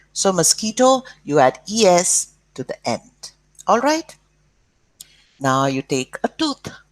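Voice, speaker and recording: Speaking at a very slow pace with long, frequent pauses, a woman at medium pitch makes very wide pitch swings, in a dry, close sound with no echo. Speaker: school teacher. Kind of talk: lesson for children.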